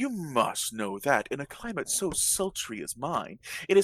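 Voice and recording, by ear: A passage read aloud in a natural voice.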